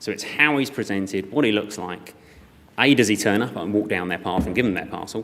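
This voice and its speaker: A man talks at a very fast pace with lively intonation. His pitch is fairly low. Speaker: e-commerce operations director. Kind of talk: conference talk. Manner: loud; hesitant with fillers.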